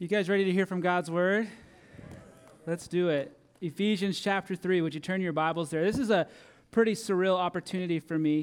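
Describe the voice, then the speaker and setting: Fairly quick and fairly even in intonation, a man talks in a high voice. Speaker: preacher. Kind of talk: sermon. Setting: church.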